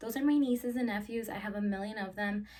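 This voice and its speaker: Animated in tone, a woman speaks at a medium pitch with a Spanish accent. Her voice is somewhat breathy. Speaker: YouTuber. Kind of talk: casual Q&A vlog.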